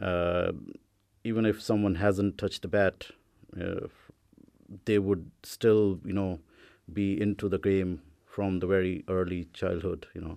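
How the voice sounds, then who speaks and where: With an Indian accent, a man speaks at a very deep, low pitch in a dark, mellow tone, his intonation monotone and flat. Long, frequent pauses break up his speech on a very clean recording with a silent background. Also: fairly slow pace. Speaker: club chairperson. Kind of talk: casual radio interview. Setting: studio. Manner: halting, repetitive fillers.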